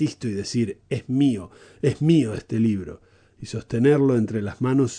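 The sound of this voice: The speaker reads in an unforced reading voice, and the pitch varies in an ordinary way.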